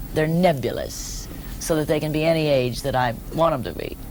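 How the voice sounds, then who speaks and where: At a moderate pace, a woman with a very deep, low pitch speaks over noticeable background noise. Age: 60s. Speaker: stand-up comedian. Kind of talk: interview answer.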